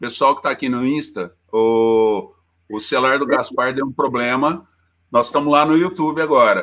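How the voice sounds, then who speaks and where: The recording is very clean, with a silent background. A man speaks at a moderate pace in a fairly high voice with ordinary pitch variation. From Minas Gerais, Poços de Caldas. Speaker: teacher. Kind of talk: casual interview; lecture.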